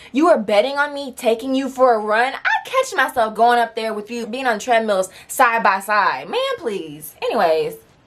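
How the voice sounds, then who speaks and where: Over noticeable background noise, a woman with a fairly high pitch speaks at a moderate pace with lively intonation and hardly any pauses. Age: 20s. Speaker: storytime YouTuber. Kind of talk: casual storytime talk to camera.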